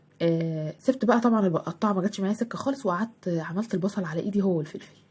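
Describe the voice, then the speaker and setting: Soft-spoken and somewhat breathy, a woman with an Egyptian accent speaks at a very fast pace, her medium pitch showing ordinary variation. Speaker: homemaker vlogger. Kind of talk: cooking vlog. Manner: halting.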